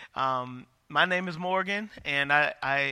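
In a very clean recording with a silent background, a man talks at a fairly high pitch with ordinary pitch variation and a bright, sharp tone. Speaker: pastor. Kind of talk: sermon. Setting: church with congregation. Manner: loud.

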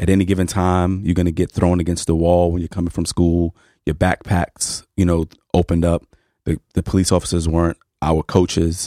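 In an American accent, a dark, mellow voice moves at a fairly quick pace with flat, monotone intonation, recorded very cleanly, dry and close with no echo and a silent background. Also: man, very deep, low pitch for a man. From New York City (Harlem). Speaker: sociology professor. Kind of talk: radio interview.

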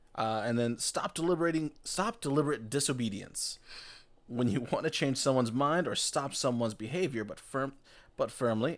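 On a very clean recording with a silent background, a man speaks at a moderate pace and medium pitch in an unremarkable speaking voice, with ordinary pitch variation. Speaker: podcast panelist, game player. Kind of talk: casual chat. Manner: joking, rambling, playful.

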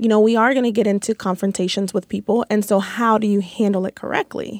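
With an American accent, a woman speaks fairly quickly at a fairly high pitch in an ordinary speaking voice, recorded with a dry, close sound and no echo. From Kansas City, Missouri. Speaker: sixth grade math teacher. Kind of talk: casual panel discussion.

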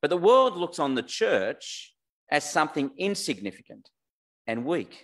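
A man's high voice at a fairly slow pace, with very wide pitch swings over a quiet background. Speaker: preacher. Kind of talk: sermon. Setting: church with online audience.

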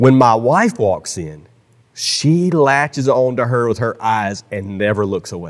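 A man with a normal speaking voice and medium pitch talks at a fairly slow pace with lively intonation, recorded very cleanly against a silent background. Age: 40s. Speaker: pastor. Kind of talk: sermon. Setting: church.

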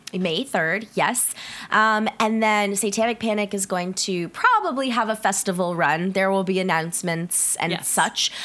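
At a moderate pace, a woman talks at a medium pitch with ordinary pitch variation. There is noticeable background noise. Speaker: podcast host. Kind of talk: casual chat. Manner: many filler words.

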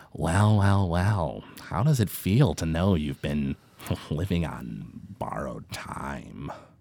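A man cackles in a put-on character voice with a very deep, low pitch. He talks at a fairly slow pace with lively intonation. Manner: cackling, menacing, gloating.

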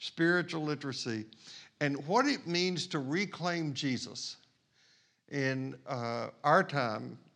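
Against a quiet background, a man with a fairly high pitch speaks very slowly with ordinary pitch variation. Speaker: pastor. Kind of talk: sermon.

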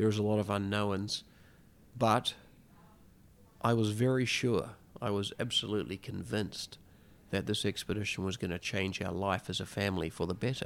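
Long, frequent pauses break up a man's fairly low-pitched speech. His intonation stays fairly even on a very clean recording with a silent background. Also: moderate pace. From rural New Zealand. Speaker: explorer. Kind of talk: interview.

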